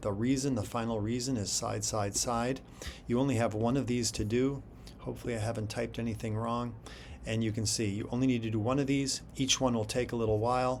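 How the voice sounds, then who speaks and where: A man talks at a fairly quick pace with monotone, flat intonation. Room echo can be heard. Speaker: math teacher. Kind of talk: tutorial. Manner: casual.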